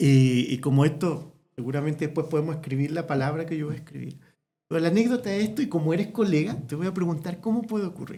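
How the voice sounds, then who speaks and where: Soft-spoken and dark, mellow in tone, a man with a fairly high pitch talks very fast with ordinary pitch variation. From Chile, small town. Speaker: veterinary ophthalmologist. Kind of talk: casual interview chat.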